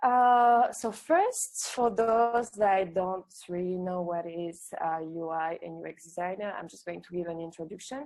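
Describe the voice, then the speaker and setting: Fairly slow speech with hardly any pauses from a medium-pitched woman with a French accent and ordinary pitch variation. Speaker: UX designer and entrepreneur. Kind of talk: online workshop talk. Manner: hesitant, many fillers.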